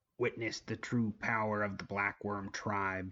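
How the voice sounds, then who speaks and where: This man's voice sits fairly low in pitch. He is doing a put-on character voice. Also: fairly slow pace. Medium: read story. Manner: manic, cackling.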